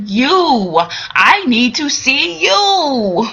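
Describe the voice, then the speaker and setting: The voice is a put-on character act. Its pitch leaps up and down enormously. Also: woman, high pitch for a woman. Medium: solo performance. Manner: earnest, intent.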